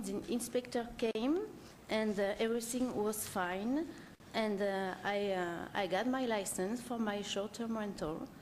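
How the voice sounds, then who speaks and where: The speaker talks at a fairly slow pace in a French accent. Audible room echo surrounds the voice. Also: woman. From France. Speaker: short-term rental owner applicant. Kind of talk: public hearing testimony. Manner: halting, many fillers.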